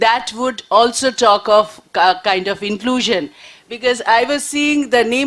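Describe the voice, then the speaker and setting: A woman with a Bengali accent speaks at a moderate pace, her fairly high pitch moving with ordinary variation. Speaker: panelist, journalist. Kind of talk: panel discussion talk. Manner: halting, many fillers.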